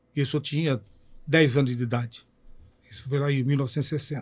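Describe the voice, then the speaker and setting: A man talks at a very fast pace. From Itajaí, Santa Catarina, southern Brazil. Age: 70s. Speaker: former goalkeeper and football commentator. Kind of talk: interview, reminiscing about career.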